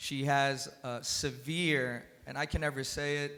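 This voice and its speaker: A man's voice has a fairly high pitch and a bright, sharp tone. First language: Spanish. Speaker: cannabis industry panelist. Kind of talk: panel discussion. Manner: halting.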